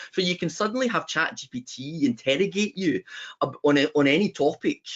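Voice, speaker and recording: Lively in intonation, a man with a Scottish accent talks at a fairly quick pace and fairly high pitch. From Scotland. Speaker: business founder, web designer. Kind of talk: panel webinar discussion. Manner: animated.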